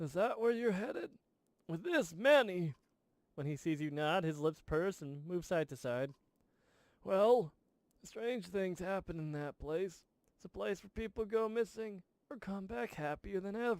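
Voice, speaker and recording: Putting on a high-pitched character voice, a man speaks at a moderate pace with long, frequent pauses. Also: dry, close sound with no echo. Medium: game stream. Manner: grumbling, stubborn.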